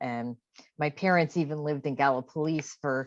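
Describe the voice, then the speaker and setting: A woman's very deep, low voice with a slight South Jersey accent, fairly slow and fairly even in intonation, over a quiet background. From South Jersey, US. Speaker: poet. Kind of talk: casual remarks.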